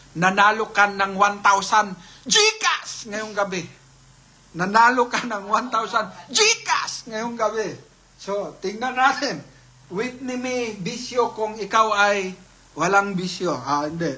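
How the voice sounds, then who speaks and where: At a very slow pace, a raised, projected voice carries ordinary pitch variation over noticeable background noise. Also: man, high pitch for a man. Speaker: livestream raffle host. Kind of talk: live raffle stream. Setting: live stream.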